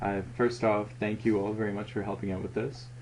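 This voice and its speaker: This man's voice sits fairly low, with a dark, mellow tone. Vocal fry runs through his speech. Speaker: student journal layout editor. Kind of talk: tutorial. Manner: hesitant, with ums and pauses.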